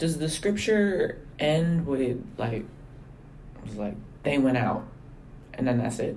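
A man speaks very slowly with a fairly high pitch and lively intonation. His voice is somewhat breathy, broken by long, frequent pauses. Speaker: podcast host. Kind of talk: casual conversational interview. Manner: warm, laughs often, informal.

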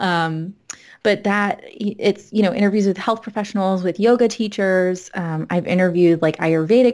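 A woman with an American accent uses a normal speaking voice at a medium pitch, moving at a moderate pace with ordinary pitch variation. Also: very clean recording, silent background. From South Florida, then Massachusetts from age fourteen. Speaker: licensed mental health counselor and yoga teacher. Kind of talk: casual chat.

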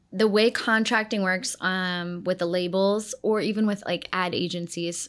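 An unremarkable speaking voice with an American accent comes at a moderate pace with ordinary pitch variation, in a very clean recording against a silent background. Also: woman. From Ohio, US Midwest. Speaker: music video producer. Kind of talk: interview.

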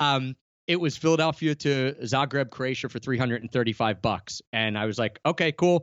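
A man talks in a normal speaking voice, medium in pitch, with ordinary pitch variation, at a moderate pace. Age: 30s. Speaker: travel blogger and podcaster. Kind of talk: interview.

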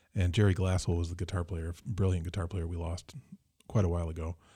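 A somewhat breathy, dark, mellow voice with an American accent at a fairly quick pace, on a very clean recording with a silent background. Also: man. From Michigan. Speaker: keyboardist. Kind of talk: casual chat. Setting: studio.

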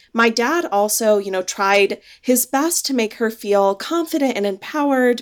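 A woman with an American accent speaks at a moderate pace with lively intonation and a fairly high pitch. The recording is very clean, with a silent background. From India, raised in the US. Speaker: fintech founder and CEO. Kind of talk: interview.

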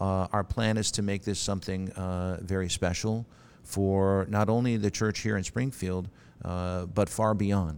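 In a very clean recording with a silent background, a man with a very deep, low pitch and an American accent talks at a moderate pace with fairly even intonation. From US Midwest, Milwaukee, Wisconsin. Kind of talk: interview. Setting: church. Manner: hesitant, many fillers and repeats.

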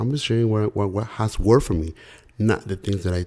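A man with a Spanish accent speaks fairly quickly at a fairly low pitch, with a dark, mellow tone and ordinary pitch variation. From Mexico. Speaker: real estate investor. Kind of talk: interview.

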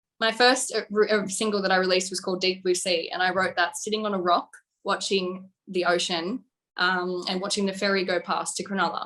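A woman's bright, sharp voice in a strong Australian accent, monotone and flat, at a fairly quick pace. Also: medium pitch for a woman. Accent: broad Australian. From Australia, coastal New South Wales. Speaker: singer-songwriter. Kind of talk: casual interview. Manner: chatty, laughs often.

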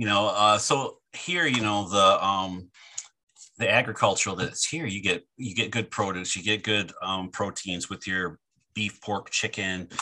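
A man with a Midwestern American accent, fairly low in pitch, bright and sharp in tone, at a fairly slow pace. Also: ordinary pitch variation. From southern Michigan, near the Ohio and Indiana border. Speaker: college food service director and chef. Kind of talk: casual interview.

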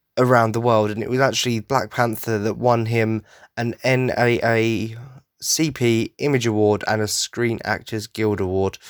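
A man speaks at a moderate pace and medium pitch in a flat monotone, with dry, close sound free of echo on a very clean recording with a silent background. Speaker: podcast host. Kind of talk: tribute monologue.

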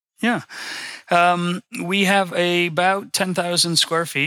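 He is a man with a bright, sharp tone and an American accent. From Florida, West Palm Beach. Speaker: auto repair shop owner. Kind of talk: interview. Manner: halting, repeats words.

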